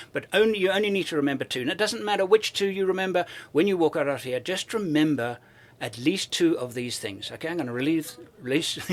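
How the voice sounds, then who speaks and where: A man with a British accent, high pitch, lively intonation and a very fast pace. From South Africa (born in UK, moved at 12). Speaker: overland traveler and filmmaker. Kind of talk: interview conversation. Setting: expo event. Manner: enthusiastic.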